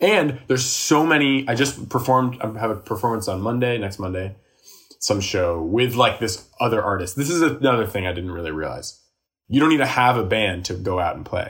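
A man with a normal speaking voice at medium pitch talks at a fairly quick pace with lively intonation, in a very clean recording with a silent background. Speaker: musician and comedian. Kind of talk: casual chat.

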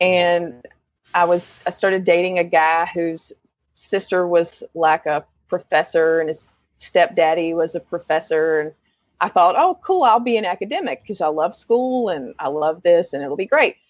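With an American accent, a woman talks at a moderate pace in a fairly low pitch with ordinary pitch variation, the sound dry and close with no echo over a quiet background. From Western North Carolina. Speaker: newsletter editor and writer. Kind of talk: casual interview chat. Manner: enthusiastic, warm.

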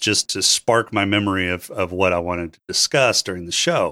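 A man's bright, sharp tone in a dry, close sound with no echo, on a very clean recording with a silent background. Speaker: podcaster. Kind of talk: casual chat. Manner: unhurried pace.

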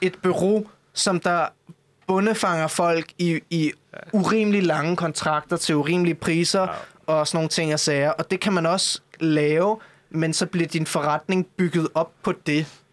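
A man speaks at a fairly slow pace in a high voice with fairly even intonation, the sound dry and close with no echo. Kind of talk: casual chat.

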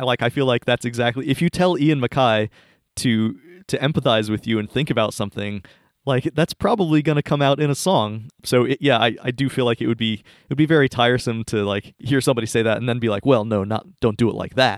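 This man has an unremarkable speaking voice. His pitch is medium with ordinary variation, and his pace is fairly quick. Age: 30s. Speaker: podcast host. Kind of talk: casual chat.

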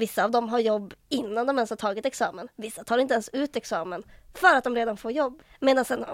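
A woman with a Norrland accent speaks at a fairly quick pace in a fairly high pitch, with ordinary pitch variation. The recording is very clean, with a silent background. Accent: northern Swedish (Norrland). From Västernorrland, northern Sweden (Härnösand). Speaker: student union vice chair. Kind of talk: casual chat.

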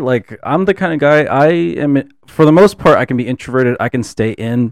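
Here is a man with an ordinary speaking voice and lively intonation. He talks at a moderate pace, with a dry, close sound and no echo. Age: 20s. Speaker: photographer and student. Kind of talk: casual chat. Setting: studio.

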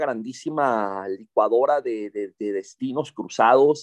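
The recording of this medium-pitched man sounds dry and close, with no echo. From Monterrey, northern Mexico. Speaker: novelist and journalist. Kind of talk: interview. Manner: halting, repeats words.

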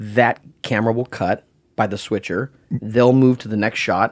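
Recorded very cleanly against a silent background, a man speaks in a normal speaking voice at a medium pitch with fairly even intonation. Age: 30s. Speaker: set dresser. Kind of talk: interview.

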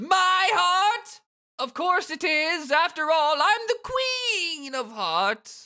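This put-on character voice sits at an extremely high pitch. The words come out at a very slow pace. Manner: imperious, arrogant.

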